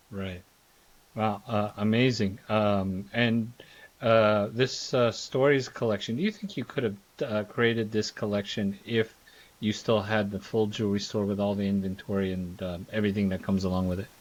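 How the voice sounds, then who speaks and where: A man talks in an ordinary speaking voice with an American accent. His pitch is fairly low, his intonation fairly even and his pace moderate. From Philadelphia. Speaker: podcast host. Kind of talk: podcast interview. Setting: podcast.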